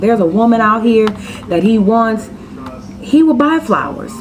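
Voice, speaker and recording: In a Floridian accent, a woman talks in an animated tone, with audible room echo and noticeable background noise. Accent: Florida dialect. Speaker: vlogger. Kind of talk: casual vlog monologue. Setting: at home.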